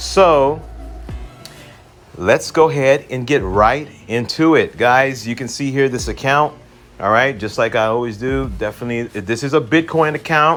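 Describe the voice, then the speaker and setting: There is noticeable background noise as a man speaks at a medium pitch. He keeps a moderate pace with ordinary pitch variation. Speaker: forex trading educator. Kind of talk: tutorial.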